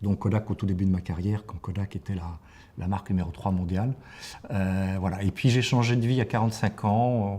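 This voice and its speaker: Fairly even in intonation, a man speaks at a moderate pace with a fairly low pitch and a dark, mellow tone. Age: 60s. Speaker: professional coach. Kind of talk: interview. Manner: hesitant, many fillers and repetitions.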